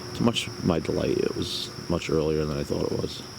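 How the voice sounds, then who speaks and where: A man speaks quietly with a very deep, low pitch against noticeable background noise. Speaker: camping vlogger. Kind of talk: casual vlog narration. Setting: outdoors at campsite.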